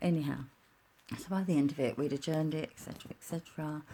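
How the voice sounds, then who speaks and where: A quiet woman with a very deep, low pitch and a dark, mellow tone speaks at a fairly quick pace with ordinary pitch variation. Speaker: vlogger. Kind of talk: personal rant vlog. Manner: talking quietly; animated.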